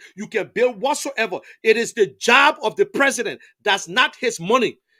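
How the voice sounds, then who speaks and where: Bright and sharp in tone, the voice is raised and projected, with lively intonation and an animated tone. The recording is very clean, with a silent background. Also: man. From Liberia. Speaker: online talk show host. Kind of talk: political commentary monologue.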